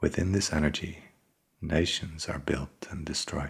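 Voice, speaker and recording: The voice whispers at a fairly slow pace. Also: man. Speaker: ASMR book reader. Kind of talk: soft-spoken ASMR book reading. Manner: soft-spoken, slow, relaxing.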